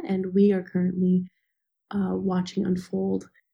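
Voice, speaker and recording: Somewhat breathy female voice at a medium pitch, monotone and flat, at a fairly slow pace. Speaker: interviewer. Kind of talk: interview questions.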